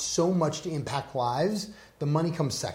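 Noticeable noise sits in the background as a man speaks at a medium tempo, his pitch varying in an ordinary way. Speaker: podcast host. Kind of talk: interview.

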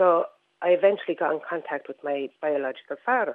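Speaking at a moderate pace with an Irish accent, a woman has a fairly low pitch and ordinary pitch variation. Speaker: caller. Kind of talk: radio call-in. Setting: phone call.

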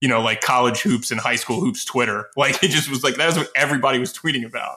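A man talks very fast at a medium pitch. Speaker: podcast host. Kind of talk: casual chat.

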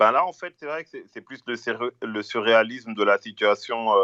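Recorded dry and close with no echo against a quiet background, a man speaks at a moderate pace in a medium-pitched, bright, sharp tone. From Brussels, Belgium. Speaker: rapper. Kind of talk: casual interview. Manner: halting.

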